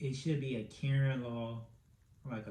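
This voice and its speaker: In a room with audible echo, a man speaks at a fairly slow pace with a dark, mellow, somewhat breathy tone and monotone, flat intonation. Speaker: podcast host. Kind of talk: casual solo podcast commentary. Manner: filler-heavy, stammering.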